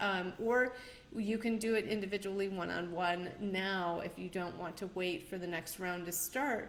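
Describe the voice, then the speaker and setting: A woman's medium-pitched voice, fairly slow and fairly even in intonation, with audible room echo and noticeable background noise. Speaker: numerologist and show host. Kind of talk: live stream talk. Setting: livestream.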